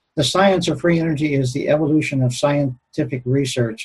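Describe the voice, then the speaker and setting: At a moderate pace, a man speaks with an American accent and fairly even intonation. His voice is somewhat breathy. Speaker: retired aerospace engineer, conference speaker. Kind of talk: conference lecture. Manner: halting, many filler words.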